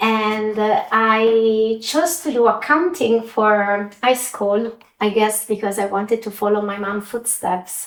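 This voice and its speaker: Very slowly, a woman with an Italian accent talks in a fairly high pitch with ordinary pitch variation. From Italy. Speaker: finance executive. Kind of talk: interview.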